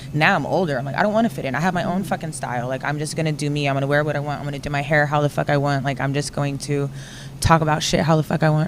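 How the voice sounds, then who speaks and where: A woman's very deep, low voice at a very fast pace, fairly even in intonation, against noticeable background noise. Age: 30s. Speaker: podcast co-host. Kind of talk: casual chat. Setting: studio.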